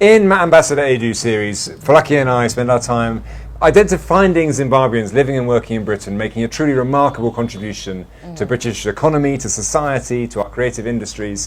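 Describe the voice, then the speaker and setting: Over noticeable background noise, a man talks at a very fast pace with hardly any pauses. His medium pitch carries lively intonation. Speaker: diplomat, interviewer. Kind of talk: interview questions.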